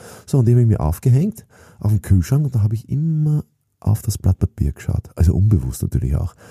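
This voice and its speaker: A man's somewhat breathy, dark, mellow voice at a fairly low pitch and fairly quick pace, with very wide pitch swings, dry and close with no echo. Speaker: sales trainer and author. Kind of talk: motivational monologue.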